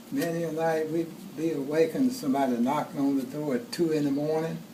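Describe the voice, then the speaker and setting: Over noticeable background noise and audible room echo, a man talks in a fairly high pitch. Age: 80s+. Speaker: family elder telling life story. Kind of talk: birthday speech, personal storytelling. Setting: home gathering with family audience. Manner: halting, repeats words.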